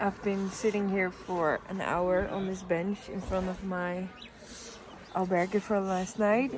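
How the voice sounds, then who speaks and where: Against noticeable background noise, a woman with a Dutch accent speaks at a fairly slow pace, medium in pitch and monotone, flat in intonation. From Netherlands. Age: 20s. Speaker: travel vlogger. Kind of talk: vlog monologue. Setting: outdoors on a bench.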